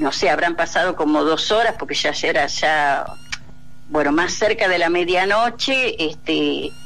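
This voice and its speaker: A woman with a fairly low voice speaks with lively intonation and very even loudness. Music plays in the background, and some room echo is audible. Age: 60s. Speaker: popular educator, dictatorship torture survivor. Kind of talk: radio interview testimony. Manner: halting.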